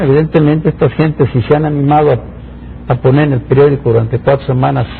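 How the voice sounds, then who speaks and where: With noticeable background noise, a man talks at a medium pitch. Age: 60s. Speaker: engineer and public official. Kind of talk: interview. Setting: studio.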